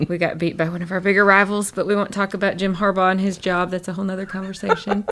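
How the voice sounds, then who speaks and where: A woman speaks at a very fast pace with a Southern US accent. Her pitch is medium and her intonation is monotone and flat. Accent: acquired southern. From northern Michigan. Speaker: chiropractor. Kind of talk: interview conversation.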